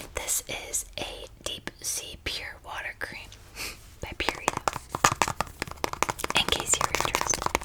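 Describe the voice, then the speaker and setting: The voice is a whisper. Noticeable background noise can be heard as well. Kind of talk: soft-spoken ASMR Bible reading and trigger demonstration. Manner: soft-spoken, relaxed.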